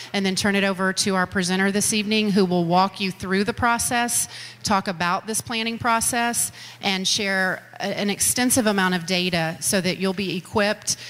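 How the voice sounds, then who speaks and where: The speaker is a woman. She keeps a moderate pace and fairly even intonation. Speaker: school district official hosting a meeting. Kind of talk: public address to audience. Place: hall.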